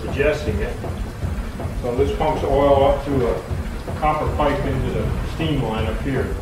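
At a moderate pace, a man talks amid noticeable background noise and audible room echo. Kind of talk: explanatory commentary to camera. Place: workshop.

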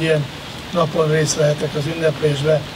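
Noticeable background noise sits behind a man speaking at a fairly quick pace. His pitch is fairly high. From Hungary. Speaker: university rector and former Olympian; speaker. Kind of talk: ceremonial speech. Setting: outdoors. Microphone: podium.

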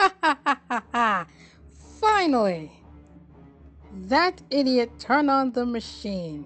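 A female-sounding, put-on character voice with a fairly high pitch. Clear music plays in the background. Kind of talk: comic overacting. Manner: gleeful, villainous, over the top.

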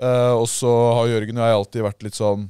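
Recorded dry with no echo and a quiet background, a man talks at a moderate pace. His tone is dark and mellow, his intonation fairly even. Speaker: podcast host. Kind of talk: casual chat. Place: studio. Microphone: studio mic.

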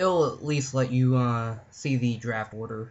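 The speech comes at a very slow pace. The voice is somewhat breathy. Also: man. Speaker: Magic: The Gathering player. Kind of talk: card game draft commentary. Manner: casual, hesitant.

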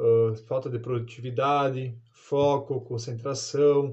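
The voice is somewhat breathy, in a Brazilian accent with monotone, flat intonation. The background is quiet. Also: man. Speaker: product reviewer. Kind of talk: casual product testimonial. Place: home room.

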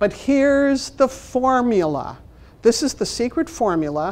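A woman speaks with a Chicago accent. Her pitch swings very widely. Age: 60s. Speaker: library management trainer and consultant; presenter. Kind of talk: workshop presentation. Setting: stage with audience, also streamed online. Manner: humorous, conversational. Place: meeting room.

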